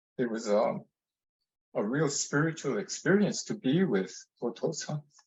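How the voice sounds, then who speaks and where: At a moderate pace, a man with a fairly high pitch speaks in a somewhat breathy voice with very wide pitch swings. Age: 70s. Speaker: temple board member. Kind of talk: Q&A discussion. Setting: video call. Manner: halting.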